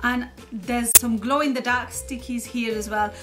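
A woman speaks at a moderate pace. Music is clearly heard in the background. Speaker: toy reviewer. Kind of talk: unboxing commentary.

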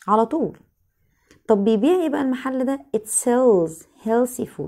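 A woman with an Egyptian accent speaks in a dark, mellow tone with lively intonation against a quiet background. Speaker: English teacher. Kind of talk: lesson. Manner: repetitive, drilling phrases aloud. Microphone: phone near.

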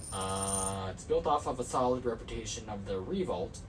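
A man with a very deep, low pitch speaks at a moderate pace over noticeable background noise. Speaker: product reviewer. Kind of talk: product review reading specs. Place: home room. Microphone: camera far.

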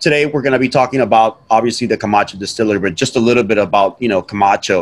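This man talks with ordinary pitch variation. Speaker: guest. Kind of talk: interview answer. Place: home room. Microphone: video call.

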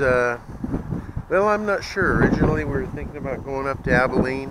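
A man at a fairly high pitch and moderate pace, dry with no echo, amid noticeable background noise. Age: old. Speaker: RV travel vlogger. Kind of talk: casual vlog narration. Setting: in a car. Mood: relaxed, chatty.

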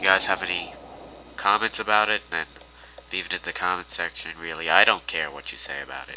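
Noticeable background noise sits behind a man's voice. His pitch is very deep and low, with ordinary variation. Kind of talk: casual talk to camera, self-deprecating vlog intro/outro.

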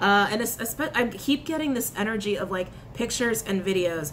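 With lively intonation, a woman speaks at a moderate pace over light background noise. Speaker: tarot reader. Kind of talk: casual reading chat to viewers. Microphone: phone near.

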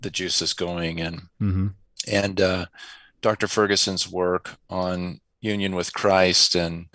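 Against a quiet background, a man speaks with a very deep, low pitch and a bright, sharp tone. His intonation is monotone and flat, and the sound is dry with no echo. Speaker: remote interview guest. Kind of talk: interview answer. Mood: warm, reflective. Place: home room. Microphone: headset.

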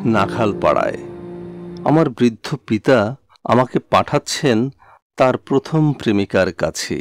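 A man with a normal speaking voice and ordinary pitch variation is heard dry and close with no echo, on a very clean recording with a silent background. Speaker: poetry reciter. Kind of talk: poetry reading.

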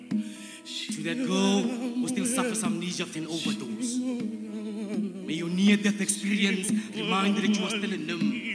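With music in the background, a man talks at a fairly slow pace and hardly pauses. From South Africa. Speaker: spoken word artist. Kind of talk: spoken word poetry performance. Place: stage. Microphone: handheld.

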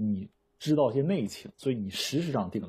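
With very wide pitch swings and vocal fry, a man sounds animated against a quiet background. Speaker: werewolf game player. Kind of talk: game discussion. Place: home room.

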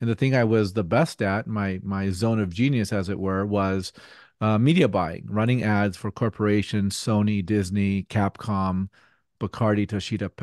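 An ordinary speaking voice, a man with a fairly low pitch speaks at a moderate pace with fairly even intonation in a dry sound with no echo and a quiet background. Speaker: podcast guest. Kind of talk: interview answer. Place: home room. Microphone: studio mic.

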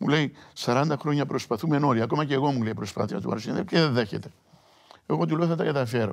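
Over a quiet background, a man speaks fairly quickly with vocal fry. His intonation is lively. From Cyprus. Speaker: singer-songwriter and writer; interview guest. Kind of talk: TV interview. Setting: hotel set for TV shoot. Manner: halting. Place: studio.

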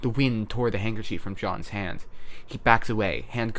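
The speaker reads in an unforced reading voice. Nothing else is heard beyond that.

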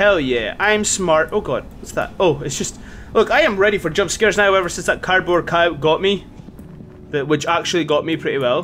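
With a Scottish accent, a man speaks at a moderate pace in a high pitch with ordinary pitch variation. Light background noise is present. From Scotland. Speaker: gaming YouTuber. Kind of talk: let's play commentary. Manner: excitable, swearing. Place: home room. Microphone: headset.

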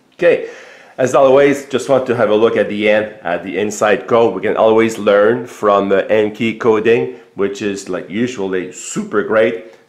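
Audible room echo surrounds a man as he talks. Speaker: tech YouTuber. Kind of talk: casual product demo. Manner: hesitant, many fillers.

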